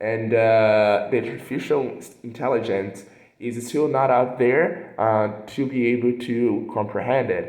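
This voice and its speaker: A man with a Portuguese accent and medium pitch, at a fairly slow pace with audible room echo. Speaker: translation student. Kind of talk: recorded class assignment presentation. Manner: hesitant, many fillers.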